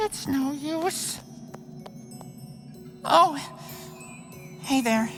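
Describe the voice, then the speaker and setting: A man performs a put-on character voice at an extremely high pitch. Clear background noise can be heard. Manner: hesitant, awkward.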